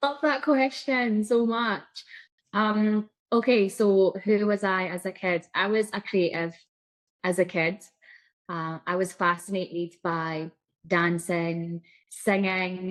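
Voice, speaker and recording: Against a quiet background, a woman with a Scottish accent speaks very slowly, her pitch varying in an ordinary way. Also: medium pitch for a woman. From Scotland. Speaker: psychic coach. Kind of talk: interview.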